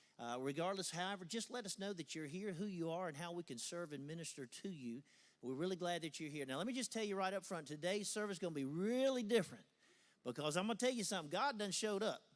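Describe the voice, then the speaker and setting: At a very fast pace, a man with a high pitch speaks in an animated tone with lively intonation. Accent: Southern US. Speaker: pastor. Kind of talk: church service welcome and introduction. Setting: church.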